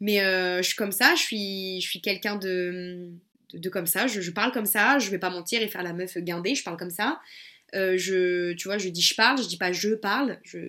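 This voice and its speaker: A woman's bright, sharp tone carries her speech at a moderate pace. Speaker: podcast host and web entrepreneur. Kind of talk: solo podcast monologue. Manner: casual, energetic.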